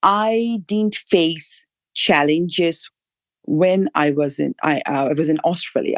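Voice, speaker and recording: A woman is speaking against a quiet background. The sound is dry and close, with no echo. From Bangladesh. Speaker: regulatory scientist. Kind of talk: podcast interview answer.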